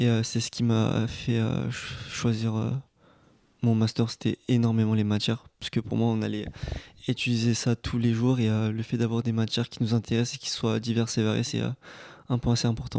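At a moderate pace, a man speaks in a medium pitch with a dark, mellow tone and monotone, flat intonation, in a dry, close sound with no echo. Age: 20s. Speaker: recent master's graduate. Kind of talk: casual discussion.

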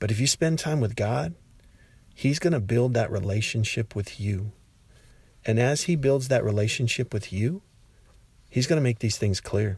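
A somewhat breathy, medium-pitched man's voice with lively intonation and long, frequent pauses, on a very clean recording with a silent background. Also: moderate pace. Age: 50s. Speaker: podcaster and teacher. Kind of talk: casual devotional monologue.

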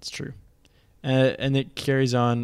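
Here a man talks at a moderate pace. The recording is very clean, with a silent background. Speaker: podcast co-host. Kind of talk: casual chat about scripture study. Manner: put-on formal radio voice in intro.

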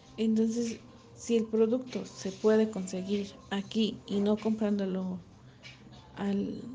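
A woman with a Mexican accent, very slow pace and monotone, flat intonation, plus audible room echo. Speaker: cosmetics business representative. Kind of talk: interview answers.

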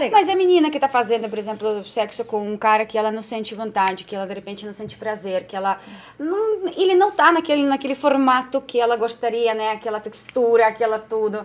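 The speech moves at a fairly quick pace with hardly any pauses, and the intonation is lively. Loudness swings widely, and there is noticeable background noise. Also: woman, fairly high pitch for a woman. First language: not Portuguese (speaking Portuguese). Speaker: podcast co-host. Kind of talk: casual chat.

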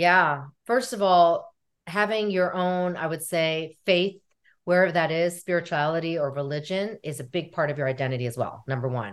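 A woman with an American accent has an unremarkable speaking voice, fairly low in pitch and lively in intonation. She keeps a moderate pace against a quiet background. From United States. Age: 40s. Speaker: therapist. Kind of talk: interview.

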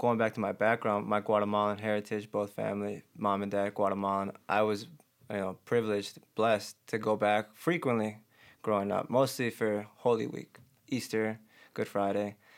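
A man with an American accent speaks at a fairly low pitch and a moderate pace, with fairly even intonation, in an unremarkable speaking voice. The recording is very clean, with a silent background. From Chicago, Albany Park. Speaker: clothing brand founder. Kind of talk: casual chat.

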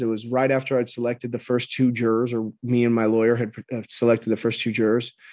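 Speaking with an American accent, a man talks at a very fast pace. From Southern California, Orange County. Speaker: formerly incarcerated person. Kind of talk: interview.

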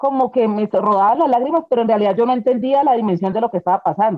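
Here is a woman with a plain, everyday voice, fairly high in pitch. Her pitch varies in an ordinary way. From Colombia. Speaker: bereaved mother. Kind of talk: testimony.

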